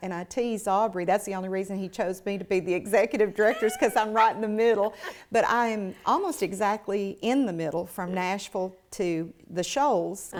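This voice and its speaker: A woman with a Southern US accent, a fairly quick pace, hardly any pauses and ordinary pitch variation. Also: medium pitch for a woman. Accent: Southern American. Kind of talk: conversational.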